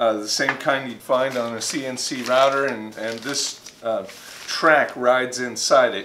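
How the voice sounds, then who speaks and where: A man speaking at a fairly slow pace, with noticeable background noise. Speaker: workshop maker channel host. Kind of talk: tutorial. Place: workshop.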